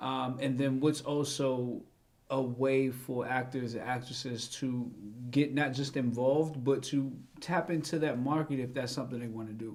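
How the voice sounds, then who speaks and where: With audible room echo, a man talks at a moderate pace and a medium pitch. His intonation is flat and monotone. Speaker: talk show host. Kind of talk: casual interview. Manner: talkative.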